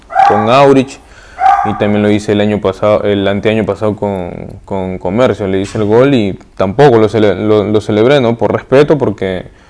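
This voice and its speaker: Against noticeable background noise, a man speaks at a moderate pace with a fairly low pitch and fairly even intonation. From Peru, Pisco. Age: 30s. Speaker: professional footballer. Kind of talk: interview. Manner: halting.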